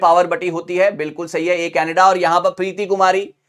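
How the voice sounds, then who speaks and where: A man talks in a high pitch with monotone, flat intonation. The background is quiet. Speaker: online exam teacher. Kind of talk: lecture. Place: studio. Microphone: lapel.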